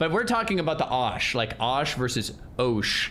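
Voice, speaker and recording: With an American accent and a medium pitch, a man's voice swings very widely in pitch amid audible room echo. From United States. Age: 30s. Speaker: gaming livestreamer. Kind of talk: casual livestream chat.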